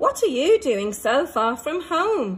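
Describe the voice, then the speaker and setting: A woman uses a put-on character voice in a high pitch. She talks at a fairly slow pace with very wide pitch swings. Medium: read story.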